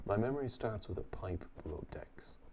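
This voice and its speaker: An Irish accent carries a dark, mellow, somewhat breathy tone, calm and relaxed. The pace is moderate, with ordinary pitch variation. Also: man. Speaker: pipe-smoking storyteller. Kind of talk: calm story narration. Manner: calm, relaxed.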